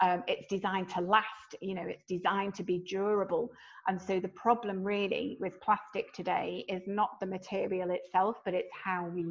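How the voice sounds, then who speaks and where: The voice moves at a moderate pace with a monotone, flat intonation. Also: woman. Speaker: sustainability consultant for tourism. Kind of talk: online presentation. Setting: online video event with screen share. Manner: reading from notes.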